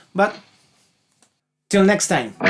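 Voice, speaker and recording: In a Chilean accent, a man speaks at a fairly slow pace. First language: Spanish. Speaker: musician and gear reviewer. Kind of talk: gear demo review. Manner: casual, some halting restarts.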